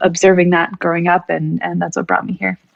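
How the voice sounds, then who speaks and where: A woman is speaking. She has a Californian accent. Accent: Californian American. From US West Coast, California Bay Area. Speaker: tech executive. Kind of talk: podcast interview. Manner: halting, many fillers.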